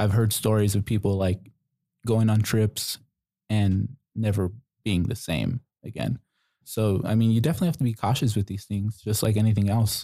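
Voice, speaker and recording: Fairly low-pitched male speech with a dark, mellow tone, fairly even intonation, a moderate pace and long, frequent pauses, in a dry, close sound with no echo. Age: 20s. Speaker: podcast guest. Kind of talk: casual chat.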